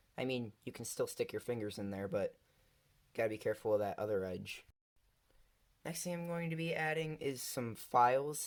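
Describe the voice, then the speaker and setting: Over a silent background on a very clean recording, a normal speaking voice goes at a moderate pace with ordinary pitch variation. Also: man. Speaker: DIY craft video maker. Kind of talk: casual talk to camera.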